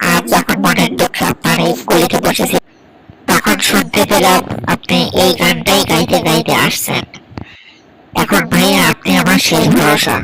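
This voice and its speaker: This man puts on a cartoonish character voice with a fairly low pitch. His pace is moderate. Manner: polite, pleading, earnest.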